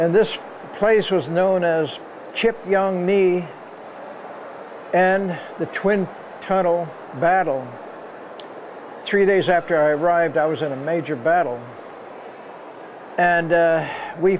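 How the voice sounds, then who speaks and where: Over light background noise, a man with high pitch speaks at a very slow pace with long, frequent pauses and ordinary pitch variation. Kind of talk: interview answer. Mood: earnest, reflective.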